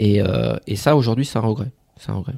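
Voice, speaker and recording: Ordinary pitch variation in a dark, mellow tone, fairly quick in pace. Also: man. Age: 30s. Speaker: former firefighter turned property investor. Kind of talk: casual interview. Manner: hesitant, many fillers.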